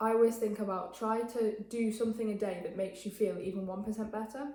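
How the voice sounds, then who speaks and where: A woman with an English accent talks at a fairly quick pace and fairly high pitch, with audible room echo and noticeable background noise. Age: young. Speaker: interviewee, student mental health campaigner. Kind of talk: interview. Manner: fast; hesitant with fillers.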